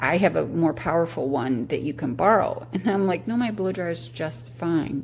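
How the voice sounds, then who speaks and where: Over noticeable background noise, a woman with a very deep, low pitch talks at a moderate pace with very wide pitch swings and hardly any pauses. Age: 60s. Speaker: product reviewer. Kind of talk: casual product review. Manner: halting.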